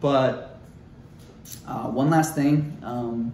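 A man's medium-pitched voice with an American accent, audible room echo and noticeable background noise. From Ohio, US Midwest. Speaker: YouTuber, gamer and bodybuilder. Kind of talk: casual vlog talk to camera. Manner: halting, filler-heavy.

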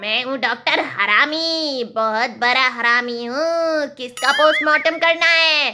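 A female-sounding voice does a cartoonish character voice at a fairly slow pace. Background noise is clearly audible. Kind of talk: comedy sketch dialogue. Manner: boastful, comic overacting. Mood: playful, comic bravado.

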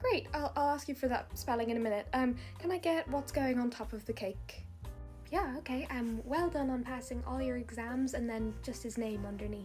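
A woman talks at a moderate pace. Faint music plays in the background. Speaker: skit creator playing baker. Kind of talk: comedy skit dialogue. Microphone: phone near.

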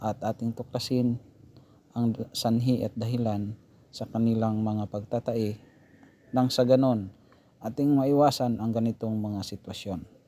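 Long, frequent pauses in a dark, mellow tone at a moderate pace, with fairly even intonation. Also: man, medium pitch for a man. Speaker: pig farmer and vlogger. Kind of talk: tutorial. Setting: outdoors.

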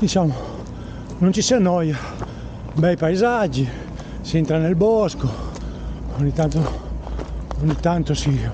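The sound is dry with no echo, and background noise is noticeable. A man speaks at a fairly slow pace with long, frequent pauses. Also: very even loudness. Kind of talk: casual vlog chat while running. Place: forest. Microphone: phone near.

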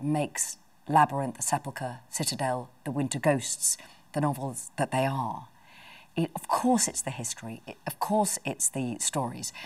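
A woman speaks at a moderate pace with a very deep, low pitch and ordinary pitch variation. The background is quiet. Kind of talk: interview answer. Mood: warm, reflective. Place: home room. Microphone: lapel.

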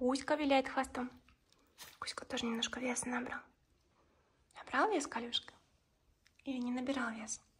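Over light background noise, the soft-spoken speaker whispers at a moderate pace. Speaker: pet owner vlogger. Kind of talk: casual vlog chat. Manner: soft ASMR whisper to her dogs. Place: home room. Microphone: phone near.

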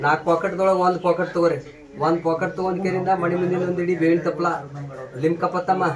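A high-pitched man with monotone, flat intonation against noticeable background noise. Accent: North Karnataka. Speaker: traditional Ayurvedic healer. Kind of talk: instructions to patients; promotional statement to camera. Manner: repetitive.

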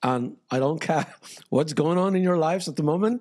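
The speech has lively intonation over a quiet background. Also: man. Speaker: prayer session host. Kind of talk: sermon. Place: home room. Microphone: studio mic.

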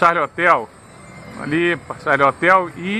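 A man at a fairly slow pace, fairly even in intonation, with music in the background. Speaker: amateur radio operator. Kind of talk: casual descriptive commentary. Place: street. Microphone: phone near.

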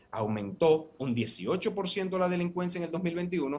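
Here a man speaks in a fairly high voice. His pitch swings very widely. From Dominican Republic. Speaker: opposition party vice president; guest. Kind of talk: political debate panel. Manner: measured, formal. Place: office. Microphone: earbuds.

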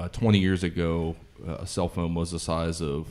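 Against a quiet background, a man with an American accent speaks in a very deep, low pitch with monotone, flat intonation. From southeastern Ohio. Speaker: comedian. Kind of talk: panel discussion. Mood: relaxed, joking. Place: home room. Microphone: studio mic.

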